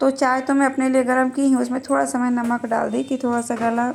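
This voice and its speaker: A woman speaks at a moderate pace with high pitch. Her intonation is monotone and flat. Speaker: vlogger, housewife. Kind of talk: casual vlog narration. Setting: at home, kitchen.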